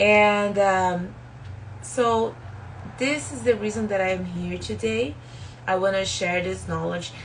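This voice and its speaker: A woman with a strong Brazilian accent speaks at a very slow pace. Long, frequent pauses and audible room echo fill the clip. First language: Portuguese. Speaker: spiritual self-help YouTuber. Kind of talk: live stream book talk. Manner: halting, many fillers.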